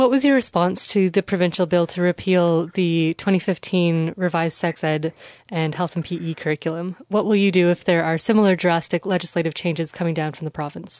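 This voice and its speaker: A woman with an unremarkable speaking voice and a fairly low pitch talks at a fairly quick pace with hardly any pauses and ordinary pitch variation, recorded dry and close with no echo against a quiet background. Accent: Canadian. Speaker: podcast host, local journalist. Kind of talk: scripted narration and interviews.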